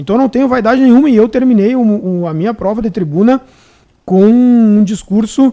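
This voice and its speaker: A man speaks at a fairly quick pace with a Rio Grande do Sul accent. His pitch is high, with ordinary variation. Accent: gaúcho. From Rio Grande do Sul, Brazil (Santo Ângelo). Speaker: public defender. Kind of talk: casual chat. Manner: halting, many repetitions.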